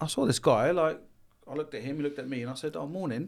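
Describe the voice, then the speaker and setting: A man with a London accent at a very fast pace, on a very clean recording with a silent background. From London, Haringey. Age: 40s. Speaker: business consultant for tradesmen. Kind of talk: casual chat.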